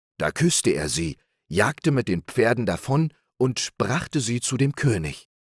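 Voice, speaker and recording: Vocal fry runs through the man's speech as his pitch swings very widely. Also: medium pitch for a man. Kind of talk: bedtime story reading aloud. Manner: slow, calm, soothing.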